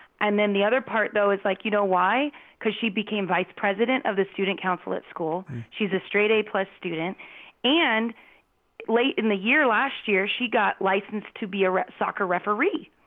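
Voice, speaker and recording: In a plain, everyday voice, a woman speaks at medium pitch with an American accent and ordinary pitch variation. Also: moderate pace. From US Southwest, Phoenix. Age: 40s. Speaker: parent and youth soccer coach. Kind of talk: casual chat. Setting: call.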